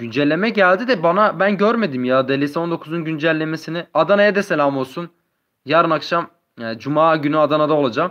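This man has an unremarkable speaking voice with a fairly high pitch. He moves at a fairly quick pace with ordinary pitch variation. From Turkey, Adıyaman. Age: 20s. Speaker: gaming YouTuber. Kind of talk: live stream chat with viewers. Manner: casual, reading chat aloud.

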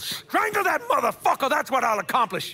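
In a put-on character voice, the speaker races at a fairly quick pace with very wide pitch swings, a bright, sharp tone and a slightly husky edge. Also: man.

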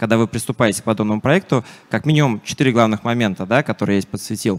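This man speaks at a very fast pace. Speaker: security software vendor representative. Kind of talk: conference talk. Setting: stage with audience. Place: hall. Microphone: handheld.

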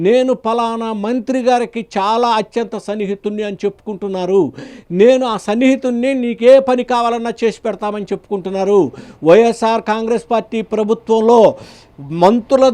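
Pitched high for a man, this speaker's voice has a dark, mellow tone and monotone, flat intonation. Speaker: political news commentator. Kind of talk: political commentary to camera.

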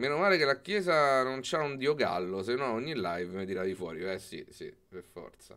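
Very wide pitch swings at a moderate pace over a quiet background. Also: man. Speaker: livestreamer. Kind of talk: livestream commentary. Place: home room. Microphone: studio mic.

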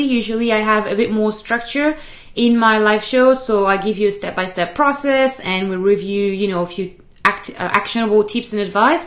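Speaking at a fairly quick pace with lively intonation, a woman is heard over a quiet background. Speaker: show host. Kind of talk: live stream talk to viewers. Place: home room. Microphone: webcam.

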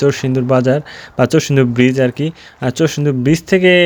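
This man has a normal speaking voice, pitched fairly high, with fairly even intonation. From Bangladesh, Narsingdi. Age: 20s. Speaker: vlogger. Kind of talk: casual vlog narration. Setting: outdoors on a village road.

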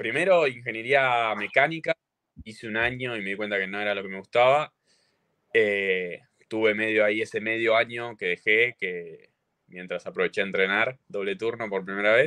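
This man has an Argentine accent and a medium pitch, with ordinary pitch variation and big swings in loudness at a moderate pace. The sound is dry with no echo, over a quiet background. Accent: Rioplatense Argentine Spanish. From Argentina. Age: 20s. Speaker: CrossFit athlete; podcast guest. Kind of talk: casual chat. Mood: relaxed, friendly. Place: home room. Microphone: video call.

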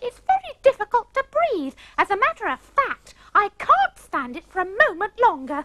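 A woman does a put-on character voice at an extremely high pitch. She swings her pitch very widely at a moderate pace. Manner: thrown voice without moving lips.

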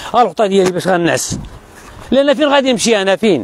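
Fairly quick and dry with no echo, a man's voice shows ordinary pitch variation. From Morocco. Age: 50s. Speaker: evicted resident, former soldier. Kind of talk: street interview testimony. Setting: outdoors, live stream. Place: open country. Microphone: lapel.

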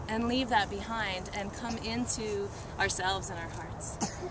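Over noticeable background noise, a woman speaks fairly slowly with ordinary pitch variation in a dry sound with no echo. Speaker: speaker. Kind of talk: ceremonial blessing speech. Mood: warm, joyful, laughing. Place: open country. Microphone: camera far.

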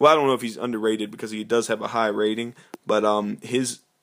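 A man speaks at a medium pitch with fairly even intonation. It is a normal speaking voice. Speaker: gaming YouTuber. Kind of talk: gameplay commentary. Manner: casual, filler-heavy.

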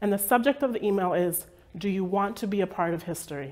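With an American accent, a woman speaks at a moderate pace and with ordinary pitch variation. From US Northeast, Dominican family. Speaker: speaker telling personal story. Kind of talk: personal story told to audience. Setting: stage with audience. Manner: animated, storytelling. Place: office.

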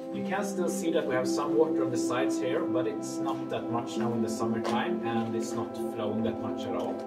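Over loud music in the background, a man talks at a fairly quick pace. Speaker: cave tour guide. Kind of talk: guided tour talk. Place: tunnel cave. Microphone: camera far.

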